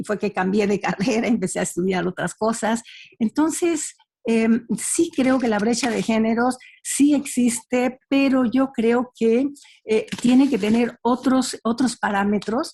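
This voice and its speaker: This woman's voice sits fairly high in pitch, with a dark, mellow tone, ordinary pitch variation and a fairly slow pace. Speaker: panelist. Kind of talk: panel discussion. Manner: halting.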